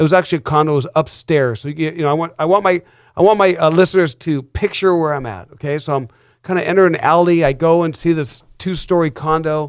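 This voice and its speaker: In a very clean recording with a silent background, a man talks at a very fast pace with fairly high pitch. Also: ordinary pitch variation. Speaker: real estate broker. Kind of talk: radio show host talk.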